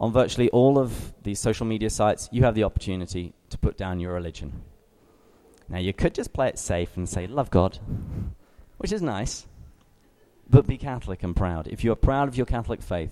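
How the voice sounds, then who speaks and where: A man in an English accent, fairly low in pitch with a dark, mellow tone, lively intonation, a fairly quick pace and long, frequent pauses, on a very clean recording with a silent background. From England. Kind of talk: talk to young adult group.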